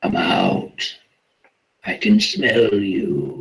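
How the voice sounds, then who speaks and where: A man's put-on character voice, pitched high. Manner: menacing.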